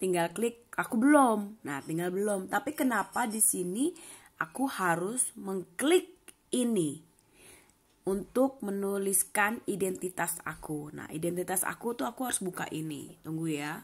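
At a fairly slow pace, a woman speaks at medium pitch with lively intonation and a somewhat breathy quality, on a very clean recording with a silent background. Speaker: vlogger. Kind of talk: casual vlog talk; screen tutorial.

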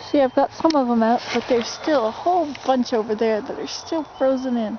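A fairly quick delivery with ordinary pitch variation, dry sound with no echo and noticeable background noise. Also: woman, high pitch for a woman. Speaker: vlogger living in a tipi. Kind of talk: casual vlog chat. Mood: relaxed, chatty. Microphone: phone near.

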